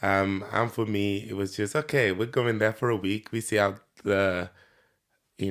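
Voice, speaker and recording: On a very clean recording with a silent background, a man with a Nigerian accent speaks at a moderate pace in a fairly low voice with fairly even intonation. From Nigeria, Lagos. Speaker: podcast guest, entrepreneur. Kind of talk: interview. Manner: hesitant, many fillers.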